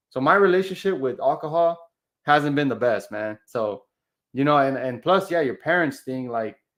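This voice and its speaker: In an ordinary speaking voice, a man with a fairly high pitch talks at a moderate pace with lively intonation against a quiet background. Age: 30s. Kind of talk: casual podcast conversation.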